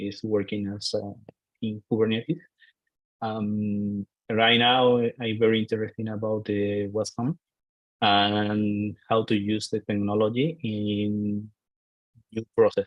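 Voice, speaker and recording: Speaking at a very slow pace with long, frequent pauses, a man with an Argentine accent keeps a fairly low pitch and a monotone, flat intonation. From Argentina. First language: Spanish. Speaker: IT architect. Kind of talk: self-introduction on video call. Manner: halting, many hesitations.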